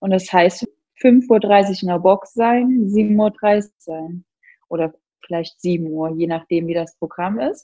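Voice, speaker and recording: A woman's dark, mellow voice at a very slow pace, with ordinary pitch variation. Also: medium pitch for a woman. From Thuringia, Germany. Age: 30s. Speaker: CrossFit athlete. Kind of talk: casual interview.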